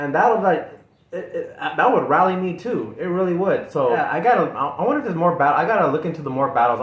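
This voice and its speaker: There is noticeable background noise and audible room echo. Over it, a man talks at a very fast pace with lively intonation. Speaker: music reaction youtuber. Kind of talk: casual chat. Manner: halting.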